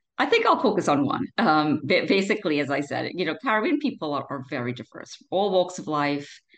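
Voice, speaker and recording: A woman with an American accent talks at a fairly quick pace with hardly any pauses, over a quiet background. Her fairly low pitch moves in very wide swings. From Trinidad and Tobago. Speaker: lawyer. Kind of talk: interview. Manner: halting, many repeated words and fillers.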